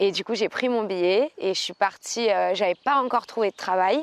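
Against a quiet background, a woman with a plain, everyday voice talks at a fairly quick pace and a medium pitch with ordinary pitch variation, the sound dry and close with no echo. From Aix-en-Provence, southern France. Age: 20s. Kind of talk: casual chat.

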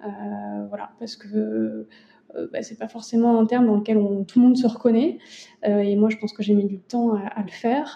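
Somewhat breathy and dark, mellow in tone, a woman with a fairly high pitch speaks at a moderate pace with fairly even intonation and big swings in loudness. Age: 30s. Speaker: lawyer and family caregiver. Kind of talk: interview testimony.

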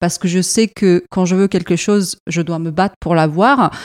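A woman with a medium pitch and a slight non-native accent speaks at a moderate pace with fairly even intonation, in a dry, close sound with no echo. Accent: barely noticeable foreign. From Iraq, left at 7, raised in Europe. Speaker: marketing manager. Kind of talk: interview. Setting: company premises.

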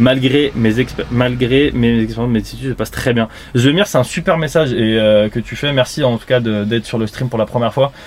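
Amid noticeable background noise, a man speaks at a moderate pace and medium pitch with ordinary pitch variation. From Île-de-France, France. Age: 30s. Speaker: streamer. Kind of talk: live stream chat. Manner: animated.

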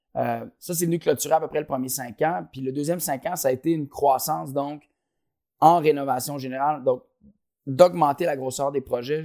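In a Quebec accent, a man with a fairly high voice speaks at a moderate pace with ordinary pitch variation, on a very clean, dry, close recording with a silent background and no echo. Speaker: company co-founder. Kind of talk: interview. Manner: halting, many repetitions and fillers.

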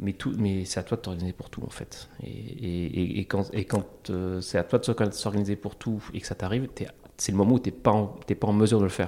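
This man's voice is fairly low with a dark, mellow tone. He keeps a moderate pace and ordinary pitch variation. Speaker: entrepreneur and investor. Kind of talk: interview testimony. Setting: small meeting room. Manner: calm, quiet; halting.

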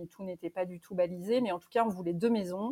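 In a dry, close sound with no echo, a woman talks with ordinary pitch variation. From Normandy, France. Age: 30s. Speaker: guesthouse owner. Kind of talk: interview. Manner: hesitant.

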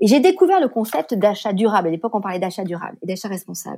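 A woman with a dark, mellow tone speaks with lively intonation. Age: 50s. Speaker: responsible purchasing consultant. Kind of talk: interview.

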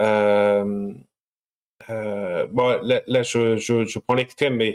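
On a very clean recording with a silent background, a man of medium pitch speaks at a very slow pace in a monotone, flat intonation. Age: 30s. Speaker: craft distiller, business owner. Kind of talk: interview, casual chat. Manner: halting, many fillers.

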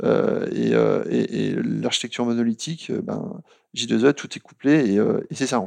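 The speech is very slow, with big swings in loudness. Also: man. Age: 40s. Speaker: software architecture manager. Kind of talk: interview. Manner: hesitant, many fillers.

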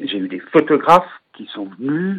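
The man's pitch swings very widely while his delivery stays at a fairly slow pace. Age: 50s. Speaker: patient advocate and trainer. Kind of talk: interview.

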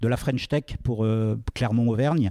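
A man speaks fairly slowly at a medium pitch, with ordinary pitch variation and a dark, mellow tone. The sound is dry and close with no echo, over a quiet background. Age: 50s. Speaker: entrepreneur. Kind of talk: talk at a public event. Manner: halting.

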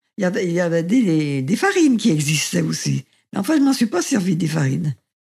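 A woman speaks with vocal fry and very wide pitch swings. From France, Saint-Étienne. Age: 90s. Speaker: great-grandmother sharing birth memories. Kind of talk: testimony. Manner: halting.

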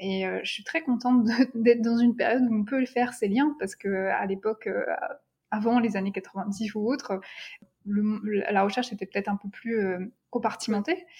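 A woman with a fairly high, somewhat breathy voice speaks at a moderate pace with ordinary pitch variation and long, frequent pauses. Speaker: doctoral researcher in neuroeducation. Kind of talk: interview conversation. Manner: hesitant, many fillers and repetitions.

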